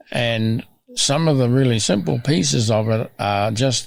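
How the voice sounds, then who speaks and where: Pitch sits in the medium range for this man. It varies in an ordinary way. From Australia (Broken Hill, NSW). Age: 80s+. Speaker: farmer and landscape restoration expert. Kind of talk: interview conversation. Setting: on his farm.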